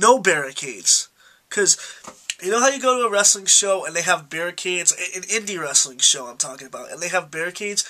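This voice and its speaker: A man's raised, projected voice, high in pitch, very fast, with lively intonation and big swings in loudness. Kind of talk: casual talk to camera.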